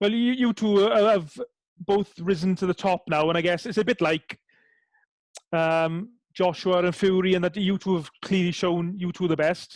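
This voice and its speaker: A high-pitched man talks at a moderate pace with fairly even intonation and very even loudness. The sound is dry and close, with no echo. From Wales. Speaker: boxing interviewer. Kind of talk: interview.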